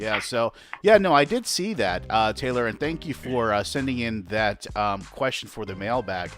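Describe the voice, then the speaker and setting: A man speaks at a moderate speed while music plays behind him. His voice is medium in pitch and varies in an ordinary way. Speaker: podcast host. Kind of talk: casual chat. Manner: hesitant, many filler words.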